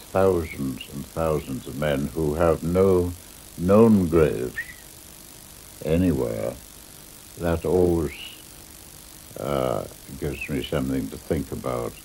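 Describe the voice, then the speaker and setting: Amid noticeable background noise, a man with a very deep, low pitch speaks at a very slow pace, with ordinary pitch variation, big swings in loudness and long, frequent pauses. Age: 90s. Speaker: war veteran. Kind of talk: documentary interview. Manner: halting.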